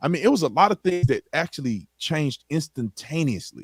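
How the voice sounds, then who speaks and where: With an American accent and an animated tone, a man speaks fairly quickly with vocal fry and very wide pitch swings in a dry, close sound with no echo. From Texas (Tyler area, East Texas). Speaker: former police officer and author. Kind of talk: casual podcast interview. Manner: animated, conversational.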